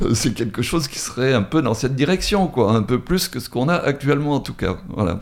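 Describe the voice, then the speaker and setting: A man's medium-pitched voice with very wide pitch swings, a fairly quick pace and hardly any pauses. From Drôme, France. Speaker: retired author. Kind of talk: radio interview. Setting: radio studio.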